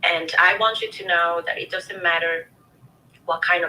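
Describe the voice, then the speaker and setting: A woman speaks with a non-native accent over noticeable background noise. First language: not English. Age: 30s. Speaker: show host sharing personal story. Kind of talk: interview testimony.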